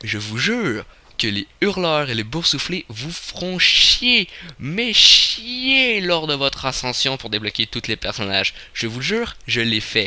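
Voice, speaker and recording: Over noticeable background noise, a man with a fairly high pitch talks at a very slow pace, his pitch swinging very widely. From Quebec. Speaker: gaming youtuber. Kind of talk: video game commentary. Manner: halting. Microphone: slight crackle noise from the microphone.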